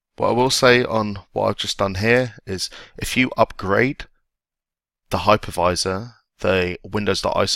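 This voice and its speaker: With an English accent, a man speaks at a moderate pace in a bright, sharp tone, his fairly low pitch held in fairly even intonation. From England. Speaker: IT tech blogger and video instructor. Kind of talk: tutorial. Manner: casual.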